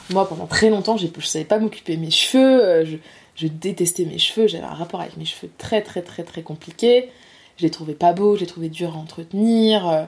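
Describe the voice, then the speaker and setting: Her pitch is fairly low with ordinary variation, and her loudness swings widely. The woman keeps a moderate pace. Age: 20s. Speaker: master's student. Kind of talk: casual interview. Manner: hesitant, many fillers.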